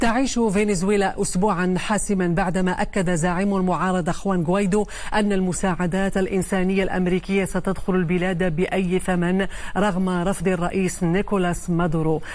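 Keeping a moderate pace, a woman talks with hardly any pauses. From Morocco. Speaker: news anchor. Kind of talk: news reading. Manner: formal. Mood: formal, serious. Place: studio. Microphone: lapel.

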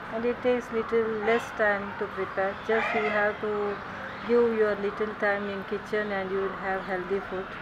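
A woman talks at a moderate pace while loud noise fills the background. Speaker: host mom teaching cooking. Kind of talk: casual cooking demonstration. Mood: warm, friendly. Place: garden.

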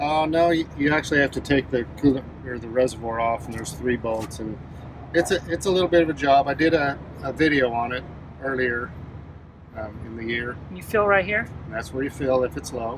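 There is noticeable background noise behind this man. He talks at a fairly quick pace, and the sound is dry with no echo. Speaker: truck driver demonstrating maintenance. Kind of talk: tutorial. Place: garage. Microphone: phone near.

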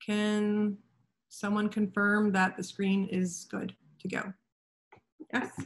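A woman speaks at a very slow pace, her medium-pitched voice somewhat breathy. Her intonation stays monotone and flat, broken by long, frequent pauses. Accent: Canadian. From Canada. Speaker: wine representative presenter. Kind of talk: online presentation. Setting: video call. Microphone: video call.

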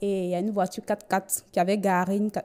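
A woman's fairly slow speech with fairly even intonation. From Côte d'Ivoire. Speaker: bank cashier giving religious testimony. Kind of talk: testimony. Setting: TV studio. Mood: earnest, recounting hardship. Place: studio. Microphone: handheld.

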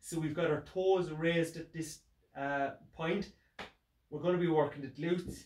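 A man with a high voice talks at a moderate pace amid audible room echo. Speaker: fitness instructor. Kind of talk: tutorial. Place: home room. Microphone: camera far.

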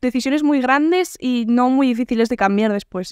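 The woman talks at a moderate pace, and the sound is dry with no echo. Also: quiet background. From Navarre, Spain (Pamplona). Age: 20s. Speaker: singer. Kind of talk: casual interview. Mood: reflective, calm. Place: home room. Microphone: studio mic.

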